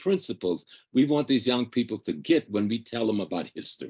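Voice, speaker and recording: With vocal fry, a man talks at a moderate pace in a dry, close sound with no echo. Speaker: cultural activist. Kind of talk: panel discussion. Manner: preachy.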